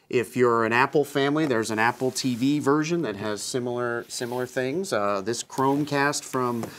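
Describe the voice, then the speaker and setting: A man talks at a moderate pace with hardly any pauses. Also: ordinary pitch variation. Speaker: guest. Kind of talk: interview answer. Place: studio. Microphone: lapel.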